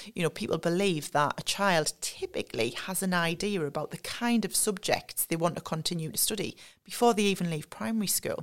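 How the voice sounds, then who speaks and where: A woman talks in a Sunderland accent at a fairly quick pace, her pitch fairly low with ordinary variation. The recording is very clean, with a silent background. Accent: Mackem (Sunderland) North East English. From North East England, Sunderland. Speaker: learning and development staff at a car maker. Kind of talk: podcast interview.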